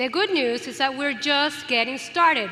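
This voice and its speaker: A woman's raised, projected voice, high in pitch with lively intonation, amid audible room echo and noticeable background noise. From Venezuela. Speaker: event host. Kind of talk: stage hosting. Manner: animated.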